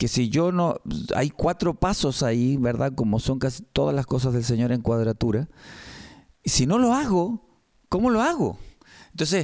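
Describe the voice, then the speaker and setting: On a very clean recording with a silent background, a man with a fairly high pitch speaks with long, frequent pauses. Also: moderate pace, very even loudness. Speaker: radio host, church program presenter. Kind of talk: casual chat about bible teaching. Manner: halting, with repeated words.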